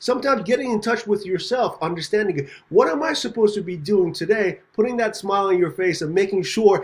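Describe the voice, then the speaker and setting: Speaking fairly quickly with a high pitch and lively intonation, a man comes through noticeable background noise. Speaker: podcast host. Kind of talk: podcast interview talk. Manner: upbeat.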